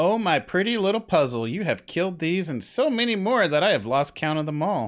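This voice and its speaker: Putting on a cackling character voice, a man talks at a fairly quick pace in a high pitch. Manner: cackling, taunting.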